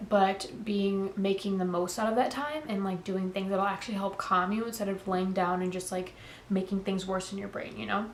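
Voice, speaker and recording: Amid noticeable background noise and audible room echo, a woman speaks at a moderate pace and medium pitch with fairly even intonation. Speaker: lifestyle vlogger. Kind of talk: casual sit-down talk to camera. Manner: casual, filler-heavy.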